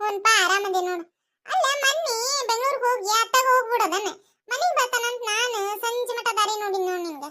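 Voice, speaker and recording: An extremely high-pitched cartoonish character voice at a moderate pace. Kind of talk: cartoon comedy sketch, several village characters. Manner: lively, bickering.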